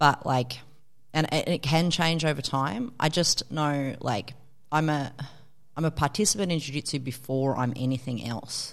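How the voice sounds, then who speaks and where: Using ordinary pitch variation, a woman with an Australian accent speaks in a very deep, low voice. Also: moderate pace. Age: 40s. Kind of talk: casual chat.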